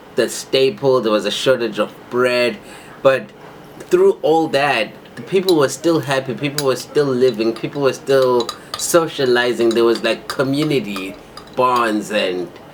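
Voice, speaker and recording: The speaker has an animated tone with ordinary pitch variation. Noticeable background noise is present. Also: man, medium pitch for a man. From Zimbabwe (Bulawayo area). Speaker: YouTube co-host. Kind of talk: casual chat.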